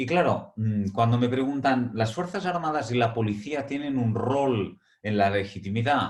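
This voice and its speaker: A man with a Catalan accent talks at a fairly slow pace with hardly any pauses. His pitch is medium, with ordinary pitch variation. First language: Catalan (speaking Spanish). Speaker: academic speaker. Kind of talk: webinar lecture. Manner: hesitant, frequent fillers.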